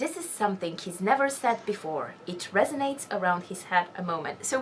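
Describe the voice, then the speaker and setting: Over noticeable background noise, a woman with a non-native accent speaks at a fairly quick pace with very wide pitch swings. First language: not English. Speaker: book reaction video host. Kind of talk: casual chat. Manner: halting.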